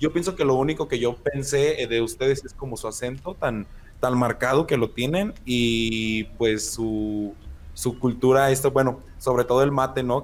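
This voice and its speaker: At a fairly slow pace, a man with a Mexican accent speaks with ordinary pitch variation. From Mexico, Michoacán (La Piedad). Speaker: podcast co-host. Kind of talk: casual chat.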